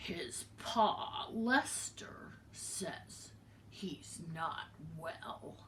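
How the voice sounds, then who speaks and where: A growling, put-on character voice moves at a very slow pace over light background noise. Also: woman. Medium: read story. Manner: gossipy.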